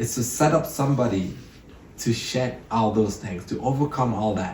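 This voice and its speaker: A man with an African accent and a medium pitch talks at a moderate pace, with audible room echo around him. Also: ordinary pitch variation. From Cameroon. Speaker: entrepreneur. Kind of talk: podcast interview.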